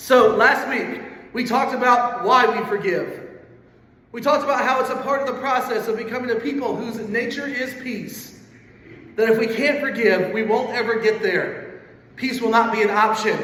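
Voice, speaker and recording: With noticeable background noise and audible room echo, a man with an extremely high pitch speaks at a moderate pace and fairly even intonation. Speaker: pastor. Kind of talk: sermon.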